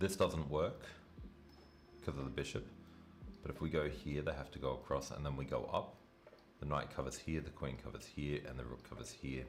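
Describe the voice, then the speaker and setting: A man with an Australian accent, very deep and low in pitch, vocal fry, fairly even intonation, a fairly quick pace broken by long, frequent pauses, and audible room echo. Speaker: chess streamer. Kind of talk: live stream commentary. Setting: live stream.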